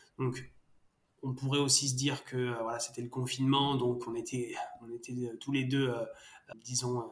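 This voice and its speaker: Somewhat breathy and flat in intonation, a man talks in a monotone broken by long, frequent pauses. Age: 30s. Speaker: startup co-founder, father. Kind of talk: interview. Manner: hesitant, many fillers and repetitions.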